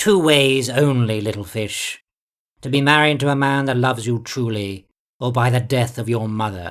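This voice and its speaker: Doing a put-on character voice, a man talks at a moderate pace and a medium pitch. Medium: read story. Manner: mirthful, unhurried, patronizing.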